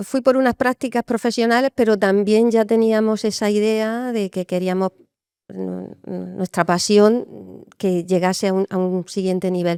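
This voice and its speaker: In a very clean recording with a silent background, a dark, mellow voice speaks at a fairly slow pace with fairly even intonation. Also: woman, medium pitch for a woman, dry, close sound with no echo. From Spain. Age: 50s. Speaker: brewer and distiller. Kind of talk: interview.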